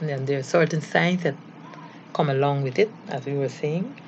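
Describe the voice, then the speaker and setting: Fairly even intonation at a moderate pace, over noticeable background noise. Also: woman. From Caribbean. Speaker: doctor. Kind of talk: lecture.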